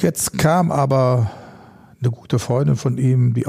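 Dark, mellow tone from a man, somewhat breathy and medium in pitch. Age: 50s. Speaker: animal welfare activist and former pro fighter. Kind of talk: casual interview.

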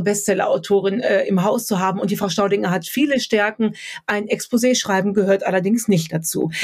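A woman's somewhat breathy, medium-pitched voice at a very fast pace, with fairly even intonation. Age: 30s. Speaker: author, speaker and coach. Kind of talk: podcast interview.

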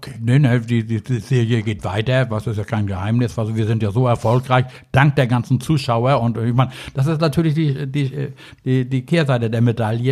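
A man speaks at a fairly quick pace with fairly even intonation and a medium pitch. His tone is dark and mellow, and somewhat breathy. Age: old. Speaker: angling expert. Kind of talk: casual chat. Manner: rambling, filler-heavy.

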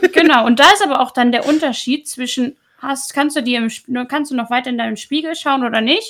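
Her pitch high and varying in a typical way, a woman talks at a fairly brisk rate. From Hamburg, northern Germany. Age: 20s. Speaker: Twitch streamer. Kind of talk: casual chat.

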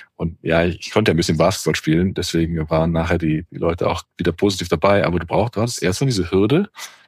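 The voice is somewhat breathy and very fast, with ordinary pitch variation and hardly any pauses. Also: man, very deep, low pitch for a man. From Germany, Cologne area. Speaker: podcast host, senior leader. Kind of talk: casual chat.

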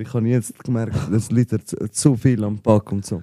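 Speaking with a Swiss accent, a man uses a medium pitch and a dark, mellow tone, keeping a moderate pace and fairly even intonation in a dry, close sound with no echo. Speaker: rapper and podcast host. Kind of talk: casual chat.

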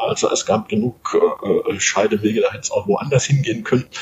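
Noticeable background noise accompanies a man speaking at a moderate pace with lively intonation. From Munich, Bavaria. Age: 50s. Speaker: sports journalist and author. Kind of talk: interview. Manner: halting, frequent repetitions.

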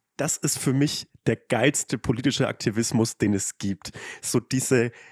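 A man talks at a very slow pace, the sound dry and close with no echo. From Lower Franconia, Germany. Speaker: Twitter comedian and influencer. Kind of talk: casual chat.

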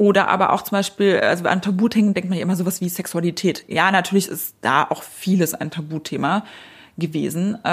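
The recording is very clean with a silent background, and a woman speaks at a moderate pace in a medium pitch. She has a normal speaking voice with fairly even intonation. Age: 30s. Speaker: media executive and editor-in-chief. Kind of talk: interview.

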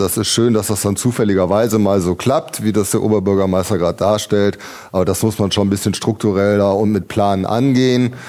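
A man's fairly low, dark and mellow voice at a fairly quick pace, with fairly even intonation, hardly any pauses, very even loudness, and a very clean recording with a silent background. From Ratingen, Rhineland. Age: 50s. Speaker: state legislator, mayoral candidate. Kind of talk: panel debate.

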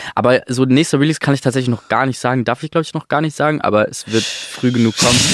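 Against noticeable background noise, a medium-pitched man speaks at a very fast pace with hardly any pauses and fairly even intonation. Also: dry, close sound with no echo. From Stuttgart area, Germany. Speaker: singer-songwriter. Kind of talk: casual chat. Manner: halting.

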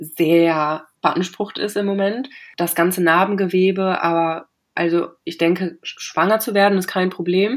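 Speaking fairly slowly in an ordinary speaking voice, a woman with fairly low pitch and fairly even intonation is captured in a very clean recording with a silent background. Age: 20s. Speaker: cancer patient. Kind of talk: interview.

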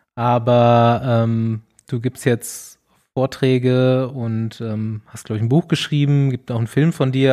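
A man's dark, mellow voice at a medium pitch and fairly slow pace, with a dry, close sound and no echo. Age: 30s. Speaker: podcast host, cyclist. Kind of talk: casual chat. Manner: animated.

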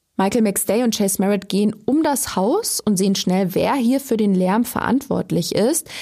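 A woman speaks at a fairly high pitch in a somewhat breathy voice, keeping ordinary pitch variation and very even loudness. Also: moderate pace, hardly any pauses. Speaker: true crime podcast host. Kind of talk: scripted narration.

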